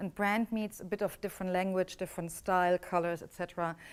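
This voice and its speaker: Here a woman speaks with a German accent. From Germany. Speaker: business coach. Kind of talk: workshop teaching.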